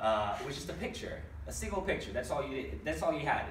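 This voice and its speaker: A man talks at a very fast pace. Room echo is audible, and there is light background noise. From Brazil. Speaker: stand-up comedian. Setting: workshop stage with other comedians as audience. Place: stage. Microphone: camera far.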